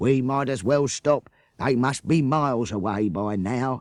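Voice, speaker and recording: Against a quiet background, a man does a put-on character voice at medium pitch, moving at a moderate pace with ordinary pitch variation, the sound dry and close with no echo. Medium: read story. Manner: practical, matter-of-fact.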